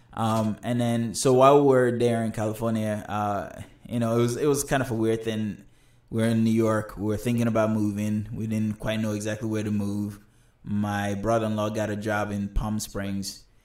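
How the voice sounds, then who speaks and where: In a room with audible echo, a man with a fairly low pitch talks at a moderate pace in a flat, monotone way. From Nigeria. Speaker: film director and writer. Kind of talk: casual interview. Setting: studio.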